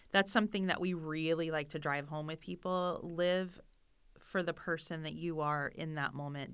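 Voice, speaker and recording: Speaking at a moderate pace in a normal speaking voice, a woman sounds fairly low in pitch on a very clean recording with a silent background. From Florida. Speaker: professional organizer, business owner. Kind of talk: podcast interview.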